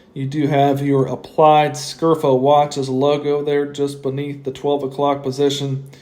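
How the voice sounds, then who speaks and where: Over noticeable background noise, a man speaks at a fairly slow pace with monotone, flat intonation. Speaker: watch reviewer. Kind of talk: product review. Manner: casual with frequent fillers.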